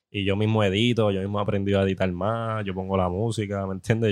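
Over a quiet background, a man with a normal speaking voice talks at a fairly quick pace, his fairly low pitch kept in fairly even intonation. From Puerto Rico. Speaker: social media cook. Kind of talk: casual chat. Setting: food festival.

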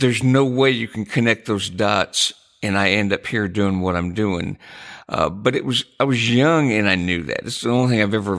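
This very clean recording with a silent background has a man with an American accent speaking at a moderate pace in a plain, everyday voice, fairly low in pitch with ordinary pitch variation. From US Midwest (Jackson, Michigan). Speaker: podcast co-host, songwriter and music publisher. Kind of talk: casual chat.

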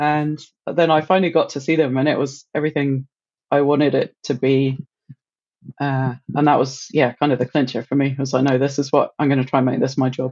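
Speaking in monotone, flat intonation, a woman with a British accent has a very deep, low pitch. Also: fairly quick pace. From UK. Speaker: marine mammal researcher. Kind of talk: casual interview chat.

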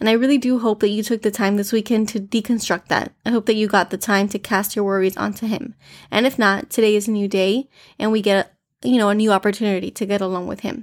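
A woman with an American accent, fairly high in pitch, at a very fast pace with fairly even intonation, in a very clean recording with a silent background and a dry, close sound with no echo. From US, Miami, Florida. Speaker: devotional podcast host. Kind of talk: devotional talk. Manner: informal, conversational.

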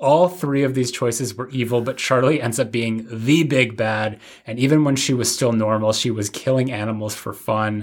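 In an ordinary speaking voice, a man at medium pitch keeps a moderate pace with fairly even intonation and hardly any pauses. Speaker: podcast host. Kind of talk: casual chat.

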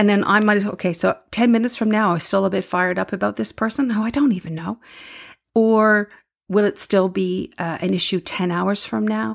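With ordinary pitch variation, an unremarkable speaking voice keeps up a fairly quick pace. The background stays silent on this very clean recording. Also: woman, medium pitch for a woman. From Newfoundland, Canada. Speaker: podcast host, leadership coach and speaker. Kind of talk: solo podcast monologue. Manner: conversational, warm.

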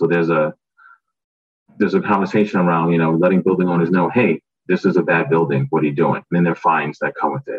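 Very deep and low, a man's voice races along at a very fast pace. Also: ordinary pitch variation. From Brooklyn, New York. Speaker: clean tech startup co-founder. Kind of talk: panel discussion on webinar.

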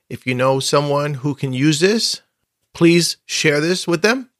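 A man with a plain, everyday voice speaks at a fairly high pitch and a fairly slow pace, with ordinary pitch variation. The recording is very clean, with a silent background and a dry, close sound with no echo. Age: 50s. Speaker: podcast host and coach. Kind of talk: solo podcast monologue. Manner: conversational.

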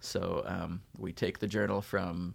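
On a very clean recording with a silent background, a man with a Californian accent speaks in monotone, flat intonation. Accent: General American (Californian). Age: 40s. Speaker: English professor. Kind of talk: casual interview.

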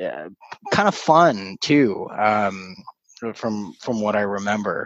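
A man with a Canadian accent and a medium pitch talks at a very slow pace. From Canada, Scarborough (Toronto); born in Kuwait. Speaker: startup business professional. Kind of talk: casual interview chat. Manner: halting, many fillers and repetitions.

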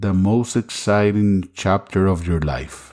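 A man with a Spanish accent speaks at a very slow pace in a fairly low pitch, on a very clean recording with a silent background. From Costa Rica. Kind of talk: sermon.

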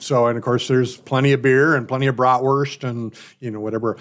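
A man with an American accent, medium pitch, ordinary pitch variation and a fairly quick pace. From US Midwest, Milwaukee, Wisconsin. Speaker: radio talk show host. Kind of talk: casual interview chat.

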